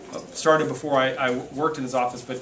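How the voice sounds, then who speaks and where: A man with an American accent talks at a very fast pace in a monotone, flat delivery, with noticeable background noise and audible room echo. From US Midwest. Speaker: legislative aide. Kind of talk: public talk at community meeting. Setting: meeting room with audience. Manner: halting, many repetitions.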